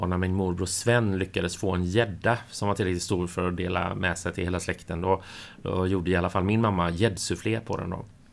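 A man speaks in a very deep, low voice at a fairly quick pace. His intonation is monotone and flat. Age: 40s. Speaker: podcast co-host. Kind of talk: casual chat.

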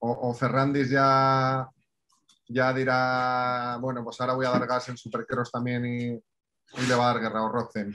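Delivery is fairly slow. The intonation stays monotone and flat. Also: man, medium pitch for a man. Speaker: podcast co-host. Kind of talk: casual chat.

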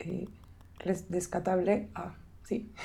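Delivered very slowly, the voice has a dark, mellow tone and a monotone, flat intonation. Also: woman. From Mexico, State of Mexico. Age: 20s. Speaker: missionary staff member. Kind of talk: casual interview.

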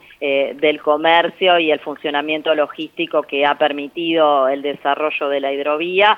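A woman's very deep, low voice, flat and monotone, at a moderate pace. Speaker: economist and national legislator. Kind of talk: interview.

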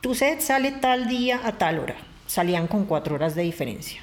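In an ordinary speaking voice, the speaker goes at a moderate pace with lively intonation. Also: woman. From Colombia, Bogotá. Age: 30s. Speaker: adult content creator and journalist. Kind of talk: interview.

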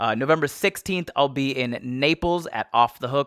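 This is an ordinary speaking voice: a man with an American accent talks at a moderate pace with ordinary pitch variation. The sound is dry and close with no echo, in a very clean recording with a silent background. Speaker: podcast host and comedian. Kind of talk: scripted intro and outro; casual chat. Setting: studio.

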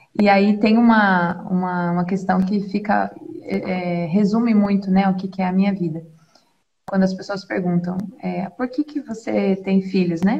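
Using a normal speaking voice, a woman speaks at a fairly slow pace in a medium pitch with fairly even intonation. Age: 20s. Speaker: doula and mother. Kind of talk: religious talk in live stream. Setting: live stream video call, using headphones.

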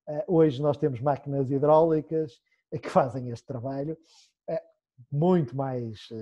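This man speaks with fairly even intonation in a somewhat breathy voice. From Portugal, Esmoriz. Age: 30s. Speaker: cooper, cooperage business owner. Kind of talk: interview, explaining craft.

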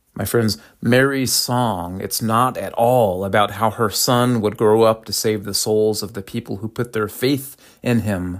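On a very clean recording with a silent background, a man with a fairly low pitch speaks at a fairly slow pace with fairly even intonation. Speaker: preacher. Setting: church. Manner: rhetorical and emphatic, using repeated contrasts and 'No, hers is' corrections; poses pointed questions to the congregation.

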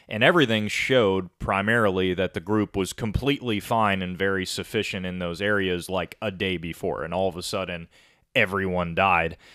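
Speaking with a western New York accent, a man has a very deep, low pitch. His pace is fairly quick and his intonation fairly even. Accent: western New York American. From US, Rochester NY. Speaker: podcast co-host. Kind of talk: casual chat.

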